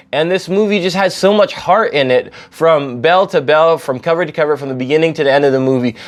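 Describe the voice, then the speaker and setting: Over noticeable background noise, a man with a fairly high pitch talks with hardly any pauses and ordinary pitch variation. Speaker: film reviewer. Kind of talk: casual monologue review. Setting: indoors at home. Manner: rambling with many fillers.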